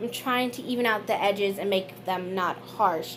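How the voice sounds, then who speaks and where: A woman talks at a fairly slow pace with ordinary pitch variation. The room echo is audible. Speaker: beauty vlogger. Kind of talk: makeup tutorial voiceover. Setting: recorded voiceover.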